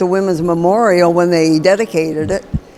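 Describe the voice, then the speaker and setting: A woman's fairly low voice, with fairly even intonation, comes through noticeable background noise. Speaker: navy veteran. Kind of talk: testimony.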